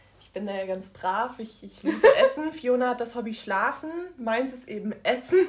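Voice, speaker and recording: The loudness swings widely throughout. Noticeable background noise runs underneath. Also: woman, high pitch for a woman, lively intonation, moderate pace. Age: 20s. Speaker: podcast co-host. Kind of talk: casual chat.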